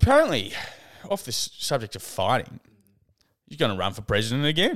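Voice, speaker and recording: A man with an Australian accent and very wide pitch swings. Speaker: podcast co-host. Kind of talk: casual chat.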